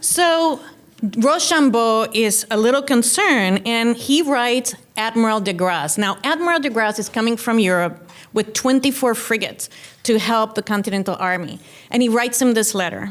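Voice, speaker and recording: Lively intonation marks a woman's fairly high-pitched voice. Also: moderate pace. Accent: Cuban. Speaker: keynote speaker. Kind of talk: keynote speech. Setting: luncheon with audience.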